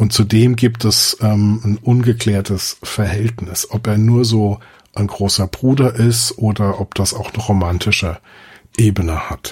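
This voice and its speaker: Somewhat breathy and fairly low in pitch, a man speaks at a fairly slow pace with fairly even intonation. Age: 50s. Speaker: film podcaster. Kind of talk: casual chat.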